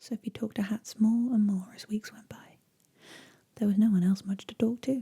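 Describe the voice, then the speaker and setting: Whispering and soft-spoken, the speaker keeps a moderate pace and a gentle tone. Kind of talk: ASMR bedtime story reading. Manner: soft-spoken, gentle, relaxing; whispered in places.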